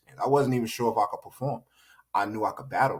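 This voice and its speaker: A man with an American accent, somewhat breathy, at a very fast pace. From Northeast US (New Jersey). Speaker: battle rapper and boxing trainer. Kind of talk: casual interview chat. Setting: podcast.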